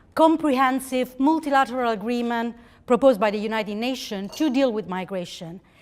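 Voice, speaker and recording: On a very clean recording with a silent background, a woman with an Italian accent speaks at a moderate pace. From Italy. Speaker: think-tank representative. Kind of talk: conference speech. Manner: halting.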